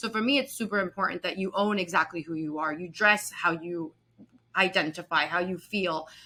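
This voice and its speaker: At a fairly quick pace, a woman speaks in a medium pitch with a bright, sharp tone and ordinary pitch variation. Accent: Spanish. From US, raised in a Colombian household. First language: Spanish. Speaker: real estate executive. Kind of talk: interview.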